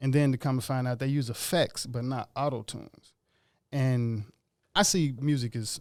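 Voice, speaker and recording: A man with an unremarkable speaking voice talks at a moderate pace in a medium pitch, his intonation fairly even, on a very clean recording with a silent background. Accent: American. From Ethiopia, raised West Los Angeles. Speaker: musician. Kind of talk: casual chat. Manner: relaxed, conversational.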